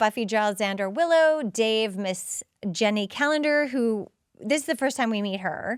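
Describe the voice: The background is silent apart from the voice. It's plain reading aloud, with lively intonation.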